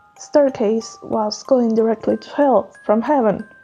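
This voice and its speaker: Over music in the background, a woman speaks at a high pitch with ordinary pitch variation. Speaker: artist. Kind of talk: unscripted storytelling voiceover. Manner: casual, rambling.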